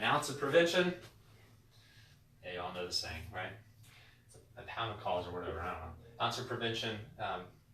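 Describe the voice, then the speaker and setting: A man speaks at a fairly quick pace in a fairly low voice, with very wide swings in pitch and long, frequent pauses. Noticeable background noise and audible room echo sit behind him. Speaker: chiropractor. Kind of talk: educational talk to camera. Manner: fast; animated, with many repetitions and fillers.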